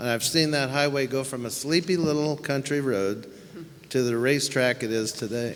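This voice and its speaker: A man with an American accent speaks at a moderate pace and medium pitch, with ordinary pitch variation. Noticeable background noise runs underneath. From Santa Ynez Valley, California. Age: 70s. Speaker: local resident, public commenter. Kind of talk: public comment at meeting.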